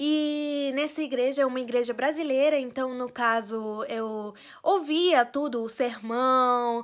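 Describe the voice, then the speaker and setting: On a very clean recording with a silent background, a woman with a Spanish accent speaks at a very slow pace and a high pitch with ordinary variation. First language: Spanish (speaking Portuguese). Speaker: vlogger. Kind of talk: casual personal vlog. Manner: hesitant, many fillers.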